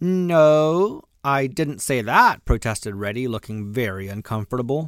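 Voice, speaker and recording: A man with an ordinary speaking voice talks at a fairly slow pace and medium pitch. His intonation is lively, and the recording is very clean with a silent background. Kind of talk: audiobook reading of a children's story, bedtime story telling. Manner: gentle, slow, storyteller's pacing.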